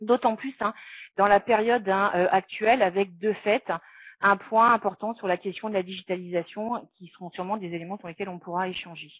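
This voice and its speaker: A woman at medium pitch and a moderate pace, with fairly even intonation, big swings in loudness, and a dry, close sound with no echo. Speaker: round-table speaker on social work training. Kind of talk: round-table presentation. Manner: halting, many fillers.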